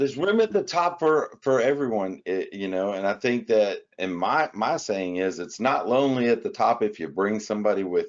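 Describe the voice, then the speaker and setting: An unremarkable speaking voice from a man, medium in pitch, at a moderate pace with lively intonation and hardly any pauses. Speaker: interviewer. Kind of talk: casual interview talk.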